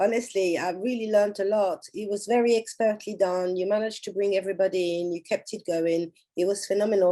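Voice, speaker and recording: A woman's dark, mellow voice in a French accent, medium in pitch, fairly quick, with fairly even intonation. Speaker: conference organizer. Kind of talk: panel discussion wrap-up.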